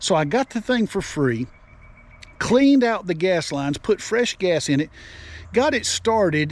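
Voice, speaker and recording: His pitch makes very wide swings. The man keeps a moderate pace. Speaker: online video host giving selling tips. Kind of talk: casual unscripted tutorial. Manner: halting, tongue-tied at times; spontaneous, unscripted.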